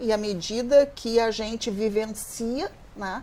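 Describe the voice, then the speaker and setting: Speaking at a very slow pace, a woman with a fairly high pitch is heard over noticeable background noise. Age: 60s. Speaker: social worker in gerontology. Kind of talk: televised panel discussion.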